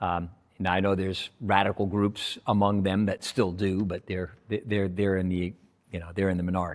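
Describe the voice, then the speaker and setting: A man's very deep, low voice in a flat monotone, on a very clean recording with a silent background. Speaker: pastor. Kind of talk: casual chat. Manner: fast.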